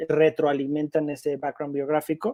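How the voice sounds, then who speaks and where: A fairly high-pitched man with a Mexican accent. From Mexico. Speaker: film director. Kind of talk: interview.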